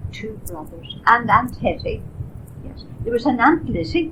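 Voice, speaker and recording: Someone speaks with a Northern Irish accent over noticeable background noise, and audible room echo fills the recording. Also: woman. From Ireland. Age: 80s+. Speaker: elderly woman recalling family history. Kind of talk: oral history interview. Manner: halting.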